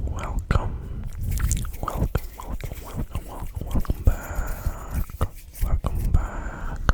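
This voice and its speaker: Whispered speech comes at a very slow pace, broken by long, frequent pauses. Background noise is noticeable throughout. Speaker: ASMR creator. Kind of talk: ASMR intro talk to camera. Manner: whispered, soft-spoken.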